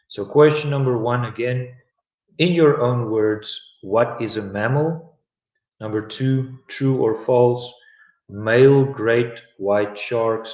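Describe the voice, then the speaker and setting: Very slowly, a man speaks at medium pitch with fairly even intonation. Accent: South African. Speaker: English teacher. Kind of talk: live online English lesson.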